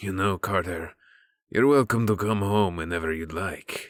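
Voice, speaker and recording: In a put-on character voice, a man speaks quietly at a moderate pace with a raspy, very deep, low pitch, on a very clean recording with a silent background. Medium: read story. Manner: calm, amused, quietly menacing.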